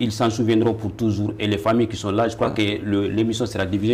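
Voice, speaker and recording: A man speaks very fast in a fairly low, somewhat breathy voice. His intonation is flat and monotone, and the room has an audible echo. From Mali. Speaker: teacher. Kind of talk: interview. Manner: halting.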